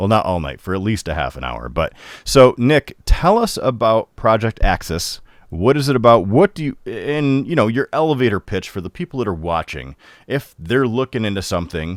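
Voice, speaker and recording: A man with a northern US accent speaks at a moderate pace in a mid-range pitch, his voice swinging very widely up and down and showing vocal fry. The recording is very clean with a silent background, and the sound is dry and close with no echo. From Upstate New York. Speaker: comics show host. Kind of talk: interview.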